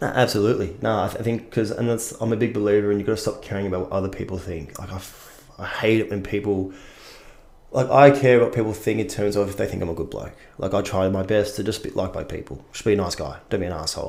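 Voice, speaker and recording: A man with an Australian accent, fairly low in pitch, very fast pace, ordinary pitch variation. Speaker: actor. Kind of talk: casual chat.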